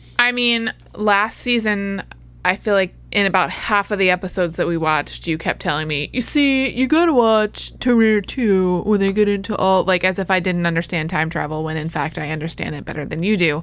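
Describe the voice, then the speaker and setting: This woman has a plain, everyday voice at a medium pitch. She talks at a fairly quick pace with lively intonation. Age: 30s. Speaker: movie podcast co-host. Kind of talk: casual chat.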